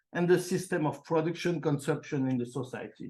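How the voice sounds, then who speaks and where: The man's fairly high pitch shows ordinary pitch variation at a moderate pace. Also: quiet background. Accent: French. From France. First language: French. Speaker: professor. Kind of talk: conference talk. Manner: halting, with many fillers and repeats.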